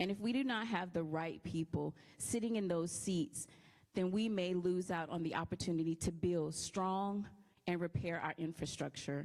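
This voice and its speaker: A woman's fairly low voice in a Louisiana accent, at a moderate pace with very even loudness and ordinary pitch variation. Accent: southern US, Louisiana. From Louisiana, Lake Charles. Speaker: political candidate. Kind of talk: campaign speech.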